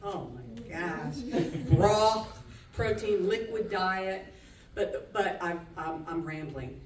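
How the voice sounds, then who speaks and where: Amid noticeable background noise and audible room echo, a woman with a fairly low pitch speaks in an animated tone with lively intonation. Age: 60s. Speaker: storyteller. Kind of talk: live storytelling.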